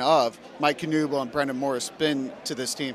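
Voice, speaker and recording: Moderate pace from a man with a fairly high pitch, amid noticeable background noise. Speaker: radio interviewer. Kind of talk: radio interview questions.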